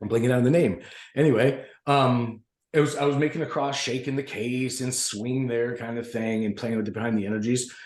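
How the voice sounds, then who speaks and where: This man talks at a fairly quick clip in an animated tone. His pitch sits in the medium range. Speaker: podcast panelist. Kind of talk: casual chat. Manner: fast.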